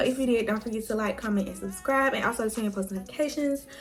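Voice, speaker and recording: Noticeable background noise surrounds a woman who talks at a very fast pace and a fairly high pitch with ordinary pitch variation. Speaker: beauty vlogger. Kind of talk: tutorial.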